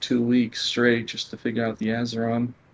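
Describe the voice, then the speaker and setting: Moving at a fairly quick pace, a man speaks with a medium pitch. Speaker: video game player. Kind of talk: interview. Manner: soft-spoken.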